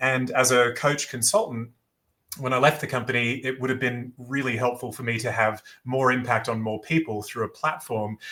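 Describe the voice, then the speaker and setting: Speaking with an Australian accent, a man uses a medium pitch, a bright, sharp tone, fairly even intonation and a moderate pace. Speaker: business founder and former athlete. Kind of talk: podcast interview. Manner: hesitant, many fillers.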